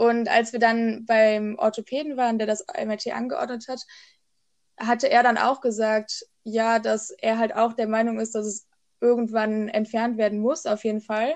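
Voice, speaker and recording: Fairly high in pitch, a woman speaks with an unremarkable speaking voice and fairly even intonation. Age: 20s. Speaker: podcast co-host. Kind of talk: casual chat.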